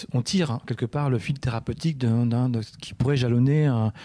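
A man with a medium pitch, a dark, mellow tone and ordinary pitch variation is heard in a very clean recording with a silent background. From Orléans-la-Source, France. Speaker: artist photographer. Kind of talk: radio interview. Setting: studio. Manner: halting, repeats words.

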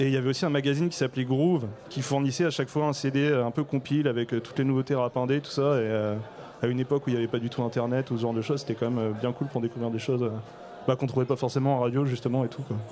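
Intonation stays fairly even as the speech moves at a very fast pace. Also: man, medium pitch for a man. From Brittany, Morlaix. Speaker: rapper. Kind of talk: panel discussion. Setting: stage with audience.

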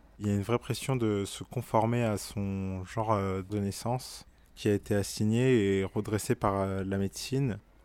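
A man uses an ordinary speaking voice with fairly low pitch. The recording is very clean, with a silent background. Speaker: intersex activist. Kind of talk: testimony.

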